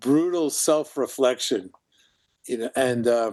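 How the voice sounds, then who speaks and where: A man with a New York accent, at a moderate pace and with ordinary pitch variation. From New York (Brooklyn). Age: 70s. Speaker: filmmaker and actor. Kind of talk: interview conversation. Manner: halting, with repetitions.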